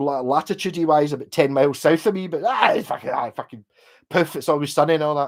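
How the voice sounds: In a West of Scotland accent, a man speaks at a fairly quick pace. His intonation is lively. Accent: Glasgow area, west of Scotland.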